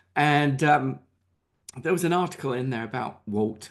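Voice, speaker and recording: This man has an English accent. He talks at a fairly slow pace. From England. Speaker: author and Disney business expert. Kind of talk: interview. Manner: hesitant with many fillers.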